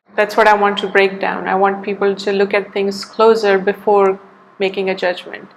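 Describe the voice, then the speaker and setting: Her intonation is monotone and flat as a woman speaks at a moderate pace. Noticeable background noise runs behind her. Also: medium pitch for a woman. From India. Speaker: artist. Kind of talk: interview.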